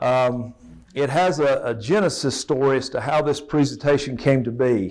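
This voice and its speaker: Speaking at a moderate pace with an Appalachian accent, a man uses a fairly high pitch and ordinary pitch variation. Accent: Southern US (Appalachian) accent, noticeable. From East Tennessee (Elizabethton). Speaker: safety trainer. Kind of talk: presentation to an audience.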